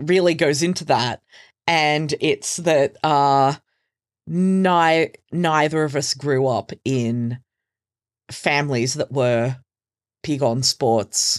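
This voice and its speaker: With an Australian accent, the voice moves at a very slow pace. Long, frequent pauses break up the speech. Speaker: podcaster. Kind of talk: casual chat.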